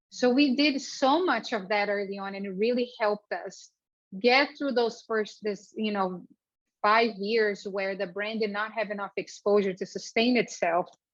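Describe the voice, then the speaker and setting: A woman at a fairly high pitch, moderate pace and ordinary pitch variation. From Brazil. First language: Portuguese. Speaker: entrepreneur. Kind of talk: speaker series talk.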